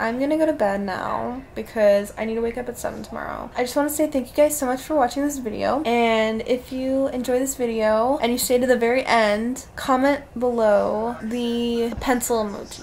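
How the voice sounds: A woman with a fairly high, slightly mellow voice and some vocal fry speaks at a moderate pace with few pauses. Her intonation is fairly even, and the room echo is audible.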